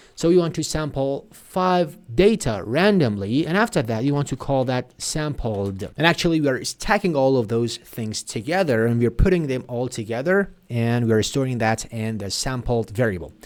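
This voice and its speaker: A man with a Persian accent speaks at medium pitch with lively intonation. He keeps a moderate pace with hardly any pauses. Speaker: programming tutor. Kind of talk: tutorial.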